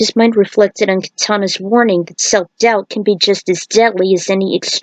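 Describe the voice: Plain reading aloud with fairly even intonation, quiet background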